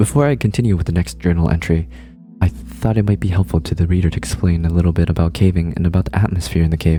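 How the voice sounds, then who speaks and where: Over music in the background, a man with a very deep, low pitch speaks at a very fast pace, with lively intonation and very even loudness. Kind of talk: creepypasta horror story reading.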